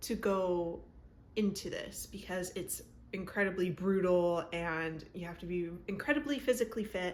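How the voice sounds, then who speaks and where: With audible room echo around her, a woman speaks at a fairly slow pace. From Canada. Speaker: BookTube creator. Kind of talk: book recap. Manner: animated.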